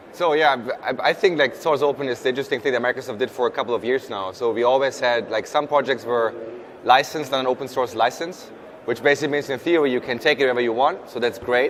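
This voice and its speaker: Very fast pace with fairly even intonation and a German accent. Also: man, medium pitch for a man. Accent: German accent, noticeable. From Germany. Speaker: software program manager. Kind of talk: panel interview. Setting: live event recording.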